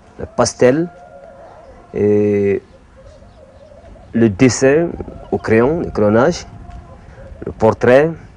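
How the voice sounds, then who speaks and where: A man's medium-pitched voice, very slow pace and lively intonation amid noticeable background noise. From Mali. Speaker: art teacher and bogolan artist. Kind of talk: interview testimony. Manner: hesitant, with frequent fillers.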